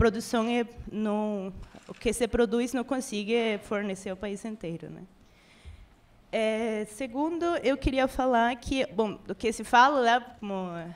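Talking very slowly in a Spanish accent, a woman with a fairly high pitch shows big swings in loudness. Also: ordinary pitch variation. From Venezuela. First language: Spanish (speaking Portuguese). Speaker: audience member. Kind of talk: audience question. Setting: live event with audience. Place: meeting room.

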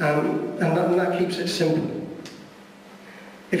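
Strong room echo and light background noise accompany a man with a high pitch, who talks at a moderate pace with fairly even intonation. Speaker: speaker. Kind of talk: presentation talk. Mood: jokey, relaxed. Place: hall.

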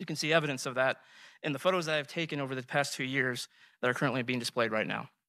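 A man with an American accent, bright and sharp in tone, at a very fast pace with ordinary pitch variation, the sound dry with no echo over a quiet background. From US. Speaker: debater. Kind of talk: formal debate. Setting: stage with audience. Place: hall. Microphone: podium.

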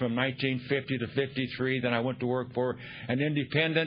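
The man speaks in a flat monotone. Light noise sits in the background. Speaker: speaker.

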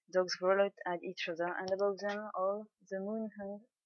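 A woman speaks with a French accent. Her intonation is monotone and flat. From France. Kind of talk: book reading.

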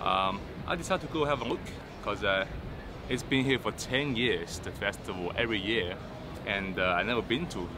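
Music plays in the background as a man talks at a moderate pace. His pitch is fairly low and the sound is dry with no echo. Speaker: vlogger. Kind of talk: casual vlog chat. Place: waterside.

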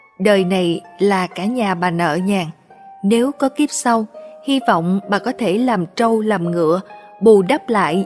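A woman speaks at a very slow pace with ordinary pitch variation. Music plays in the background. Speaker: story narrator. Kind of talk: read social drama story. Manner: expressive, moving.

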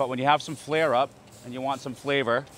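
Here a man talks at a very fast pace with fairly even intonation. The sound is dry with no echo. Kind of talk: interview answer. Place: street. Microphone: handheld.

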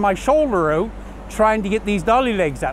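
A man with a high pitch and ordinary pitch variation comes through dry with no echo over light background noise. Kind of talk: tutorial. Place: street.

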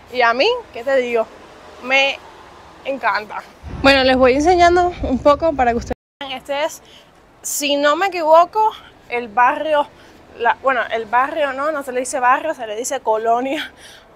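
The speaker goes at a moderate pace with ordinary pitch variation and long, frequent pauses. The sound is dry with no echo. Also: woman, high pitch for a woman. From Cuba, Havana; Cuba. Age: 20s. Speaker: vlogger. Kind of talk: casual vlog monologue. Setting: outdoors on the street. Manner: animated. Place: street. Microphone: phone near.

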